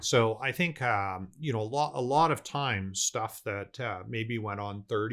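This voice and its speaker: Recorded very cleanly against a silent background, a man with a Canadian accent has an unremarkable speaking voice, medium pitch and ordinary pitch variation. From Canada, Vancouver. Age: 60s. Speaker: business owner. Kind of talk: casual interview chat.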